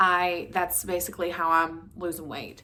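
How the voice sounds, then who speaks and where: A woman with an Appalachian accent speaks at a fairly low pitch, with audible room echo and noticeable background noise. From West Virginia. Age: 30s. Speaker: vlogger. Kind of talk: casual chat. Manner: fast.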